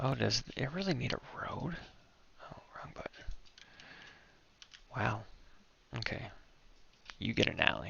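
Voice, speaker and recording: A man whispers at a fairly slow pace, with long pauses coming often. His loudness swings widely against noticeable background noise. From Canada. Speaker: gaming streamer. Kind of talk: gameplay commentary. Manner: whispering; casual.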